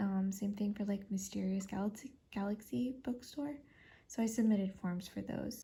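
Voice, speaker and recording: Somewhat breathy and dark, mellow in tone, a woman speaks at medium pitch and a fairly slow pace with ordinary pitch variation. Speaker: author and independent publisher. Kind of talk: casual talk to camera, vlog. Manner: whispered, soft-spoken.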